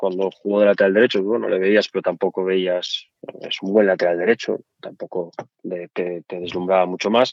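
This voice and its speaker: A man with a slight Asturian accent speaks at a moderate pace with a very deep, low pitch and fairly even intonation. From Asturias, Spain. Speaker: former footballer. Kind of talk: interview.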